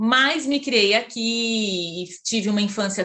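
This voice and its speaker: Speaking at a very slow pace, a woman uses ordinary pitch variation in a bright, sharp tone. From Brazil, Campinas (São Paulo state). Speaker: psychologist, Jungian analyst. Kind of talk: interview, personal life story. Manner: hesitant, many fillers.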